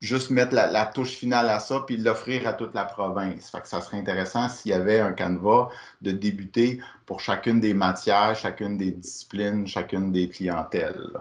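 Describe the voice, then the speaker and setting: This man talks at a fairly slow pace. The background is quiet. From Quebec. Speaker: workshop facilitator. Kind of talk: online workshop presentation. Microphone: video call.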